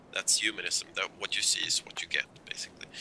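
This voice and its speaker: A man speaks at a moderate pace in a Swedish accent. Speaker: zoology professor and author. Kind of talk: live call-in show interview. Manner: halting, with restarts.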